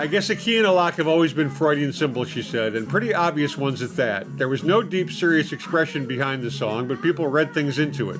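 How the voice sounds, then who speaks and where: Over noticeable background noise, a man speaks at a very fast pace. His pitch is fairly high and his intonation lively. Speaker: YouTube commentator. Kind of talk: obituary read from news article.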